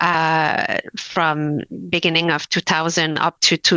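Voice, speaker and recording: A woman speaks in a French accent at a fairly low pitch. Her tone is bright and sharp. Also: dry, close sound with no echo. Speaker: labour lawyer. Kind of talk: webinar presentation. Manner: halting, many fillers.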